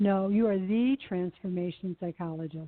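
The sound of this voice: A woman's booming put-on character voice at medium pitch, with ordinary pitch variation and a moderate pace.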